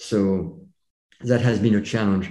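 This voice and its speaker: Speaking with a French accent, a man uses a fairly low, dark and mellow voice against audible room echo. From France. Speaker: chiropractor and public speaker. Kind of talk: podcast interview. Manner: halting.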